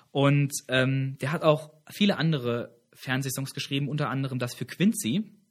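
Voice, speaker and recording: A man speaks at a moderate pace in a fairly high, somewhat breathy voice. His pitch varies in an ordinary way. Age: 20s. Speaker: campus radio host. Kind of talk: casual trivia chat show.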